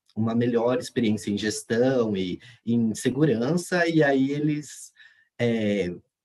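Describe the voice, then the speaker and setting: A man speaks at a very slow pace. His medium pitch shows ordinary pitch variation. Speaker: graduate student presenter. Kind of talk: conference presentation. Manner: halting, many fillers.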